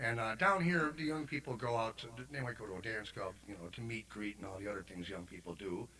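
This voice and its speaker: Talking very fast with hardly any pauses, a man with a Chicago accent uses a medium pitch and lively intonation. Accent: Chicago American. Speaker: singer-songwriter. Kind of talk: casual chat.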